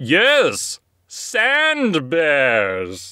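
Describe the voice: A man's cartoonish character voice, pitched fairly high.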